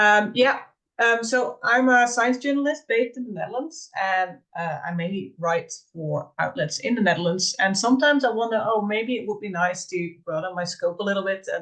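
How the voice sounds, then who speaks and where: With a Dutch accent and lively intonation, a woman speaks in a fairly high voice. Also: moderate pace. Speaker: science journalist. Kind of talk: audience question.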